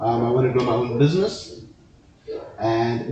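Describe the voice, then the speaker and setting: Audible room echo and noticeable background noise surround the voice. A man speaks at a moderate pace. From South Africa, Johannesburg. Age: 20s. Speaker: student and podcast guest. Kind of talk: interview. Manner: halting.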